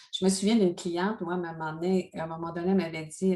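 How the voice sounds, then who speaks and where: Her voice sits at a fairly low pitch for a woman. She speaks in a monotone, with flat intonation. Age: 60s. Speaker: life coach and speaker. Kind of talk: interview.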